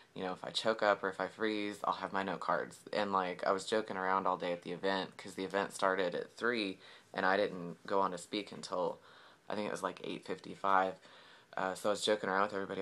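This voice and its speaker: A man with an American accent speaks very fast in a fairly low pitch. His tone is bright and sharp, and his voice is resonant. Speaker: vlogger. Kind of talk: casual vlog. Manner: hesitant, many fillers.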